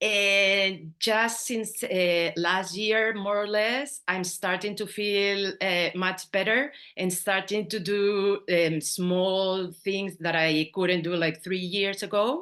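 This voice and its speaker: Over a quiet background, a woman with a Spanish accent speaks very slowly at a medium pitch, her tone bright and sharp, her loudness very even and hardly any pauses between words. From Spain. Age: 50s. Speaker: astrology student. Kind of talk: interview. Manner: animated.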